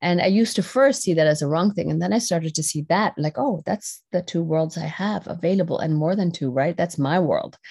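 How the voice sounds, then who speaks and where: A woman's fairly low, somewhat breathy voice with a dark, mellow tone, ordinary pitch variation and a fairly quick pace. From Netherlands. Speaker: personal development facilitator and dance company owner. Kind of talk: interview conversation.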